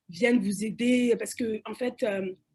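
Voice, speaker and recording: A woman speaks at a fairly high pitch with fairly even intonation. Her voice is somewhat breathy. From Cameroon, Douala. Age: young. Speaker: panelist. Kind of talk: panel discussion. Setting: webinar. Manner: halting, many repetitions and fillers.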